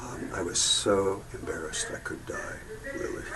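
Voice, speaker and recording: A man talks at a moderate pace with audible room echo. Noticeable background noise runs underneath. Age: 70s. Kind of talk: testimony. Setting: video booth. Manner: halting.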